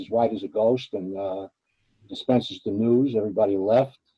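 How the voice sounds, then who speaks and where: With a New York accent, a man talks at a fairly quick pace using fairly even intonation. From New York City, Little Italy. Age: 70s. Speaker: retired police detective and author. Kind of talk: interview.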